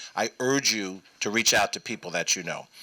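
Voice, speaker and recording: A man speaks very fast with a New York accent. His pitch sits in the medium range. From New York, Westchester County. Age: 60s. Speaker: state senator. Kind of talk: public talk.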